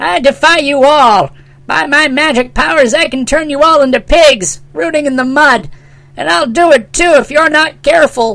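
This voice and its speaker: This put-on character voice is pitched high and moves at a moderate pace. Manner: scornful.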